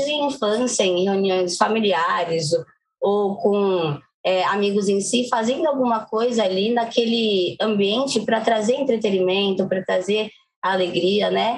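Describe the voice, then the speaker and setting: With an ordinary speaking voice, a woman talks at a fairly slow pace in a medium pitch, her loudness very even and her pitch variation ordinary. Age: 20s. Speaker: poet, singer and actress. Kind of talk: interview.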